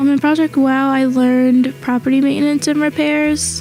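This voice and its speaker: A woman's high-pitched voice at a moderate pace, with music in the background. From US Northeast. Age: 20s. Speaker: program graduate, award honoree. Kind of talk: interview testimony. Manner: casual, frequent filler 'like'.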